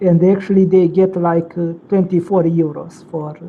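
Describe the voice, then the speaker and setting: A woman with a strong Russian accent talks at a moderate pace in a fairly low voice. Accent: heavy Russian. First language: non-native English speaker. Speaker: online chat participant. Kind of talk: casual chat.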